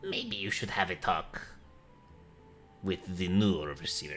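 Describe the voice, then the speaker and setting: Over clear music in the background, a man in a put-on character voice speaks at a fairly slow pace with a very deep, low pitch. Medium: actual play. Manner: curt, guarded.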